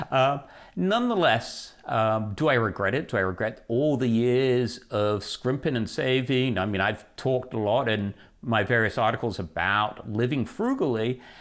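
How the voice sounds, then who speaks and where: On a very clean recording with a silent background, a man uses a plain, everyday voice at medium pitch, speaking at a moderate pace with ordinary pitch variation and very even loudness. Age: 60s. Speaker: personal finance writer. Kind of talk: interview. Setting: recorded interview, seated.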